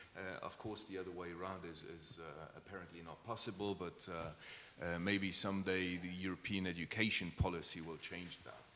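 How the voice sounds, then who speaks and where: A man with a Luxembourgish accent, a very deep, low pitch, a bright, sharp tone, monotone, flat intonation, hardly any pauses and audible room echo. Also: moderate pace. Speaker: diplomat. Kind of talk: panel discussion. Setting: conference with audience.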